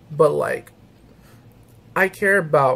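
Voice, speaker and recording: Here a man talks with an American accent. His voice is somewhat breathy. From St. Louis, US Midwest. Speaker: YouTuber gamer. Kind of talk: casual chat, vlog update. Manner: rambling, casual. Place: home room. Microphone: webcam.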